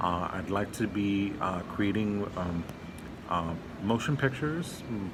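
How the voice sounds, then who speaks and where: A man speaks in an American accent with a fairly low pitch and ordinary pitch variation. Audible room echo and noticeable background noise are present. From Los Angeles, California. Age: 30s. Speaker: prospective film student. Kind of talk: scholarship application video, self-introduction. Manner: halting, many fillers.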